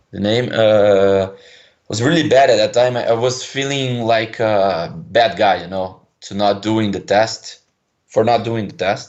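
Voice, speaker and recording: A man with a Brazilian accent at a medium pitch, ordinary pitch variation, a fairly slow pace and long, frequent pauses. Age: 20s. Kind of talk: caller on a call-in show. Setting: phone line. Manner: hesitant.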